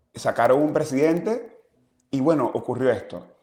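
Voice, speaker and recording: A man's dark, mellow voice in a Zulian accent, with very wide pitch swings. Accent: Zulian Venezuelan. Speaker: exiled opposition politician. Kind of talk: interview.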